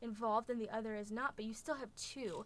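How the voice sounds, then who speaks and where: Her fairly high voice moving at a fairly quick pace, a woman speaks with a Midwestern accent and fairly even intonation. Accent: American Midwest. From Indiana, US (born in Russia). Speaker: adoptee sharing personal story. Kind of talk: personal testimony interview.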